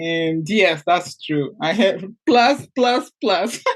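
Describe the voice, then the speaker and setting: A woman with a Portuguese accent, medium in pitch, lively in intonation, at a very slow pace. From Portugal. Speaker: mindset coach and entrepreneur. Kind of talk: interview.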